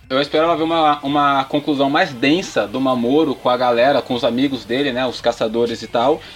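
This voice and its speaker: With a normal speaking voice, a man talks at a fairly quick pace with hardly any pauses, medium pitch and fairly even intonation. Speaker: podcast guest. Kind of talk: casual chat.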